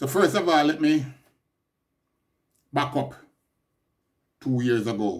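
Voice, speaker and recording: A man with a Jamaican accent speaks at a fairly slow pace with long, frequent pauses. His pitch is fairly high, with ordinary variation. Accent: Jamaican English with patois features. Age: 60s. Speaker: podcaster. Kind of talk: personal monologue update.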